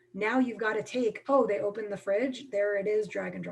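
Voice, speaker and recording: A woman at medium pitch and a fairly quick pace, against noticeable background noise. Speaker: film workshop presenter, production company president. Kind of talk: live online workshop talk. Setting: video call. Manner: fast; casual, filler-heavy.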